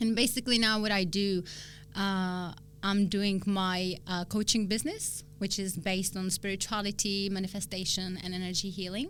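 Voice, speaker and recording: A woman's bright, sharp voice in a Czech accent, at a moderate pace. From Czech Republic, small town near Prague. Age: 30s. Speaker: spiritual coach. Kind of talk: interview.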